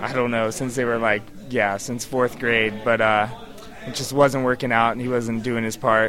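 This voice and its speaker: A man speaks at a moderate pace and medium pitch, his intonation flat and monotone. Noticeable background noise runs underneath. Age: 30s. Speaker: punk band guitarist and singer. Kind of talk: casual interview. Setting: live music venue.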